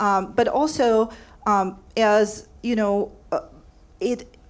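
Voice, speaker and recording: A woman's medium-pitched voice with a non-native accent. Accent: foreign. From overseas, non-US. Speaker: public media worker, former orchestra director. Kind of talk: community forum comment. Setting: panel forum with audience. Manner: halting, many fillers.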